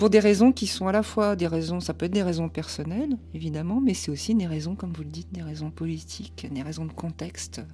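A woman talks at a fairly quick pace with hardly any pauses and big swings in loudness, over noticeable background noise. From France. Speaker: literature professor and author. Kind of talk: radio interview.

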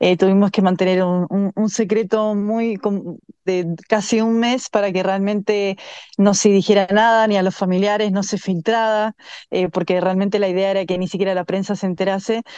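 A woman talks in a dark, mellow tone at a medium pitch, with monotone, flat intonation. The background is quiet. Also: moderate pace. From Chile. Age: 30s. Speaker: swimmer. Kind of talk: interview.

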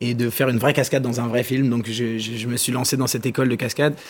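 A man's unremarkable speaking voice, medium in pitch, with fairly even intonation. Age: 20s. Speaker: documentary filmmaker. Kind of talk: TV interview. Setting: TV studio.

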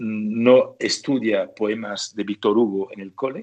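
A man speaks very slowly at a medium pitch against a quiet background. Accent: French. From northern France. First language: French (speaking Spanish). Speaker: writer and sports journalist. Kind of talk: interview. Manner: hesitant, repeating words.

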